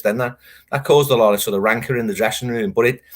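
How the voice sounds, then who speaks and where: A man with a Liverpool accent, medium pitch and lively intonation, in a very clean recording over a silent background. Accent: Liverpool (Scouse). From Liverpool, England. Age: 50s. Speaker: football writer. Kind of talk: interview.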